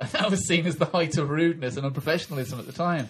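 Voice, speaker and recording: A man with an English accent and a fairly high pitch speaks at a very fast pace. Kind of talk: comedic podcast chat.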